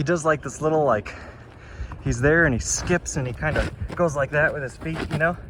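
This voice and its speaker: Over noticeable background noise, a man with a fairly high pitch speaks at a fairly quick pace with fairly even intonation. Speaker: travel vlogger. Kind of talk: casual vlog narration while hiking. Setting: outdoors on a mountain trail.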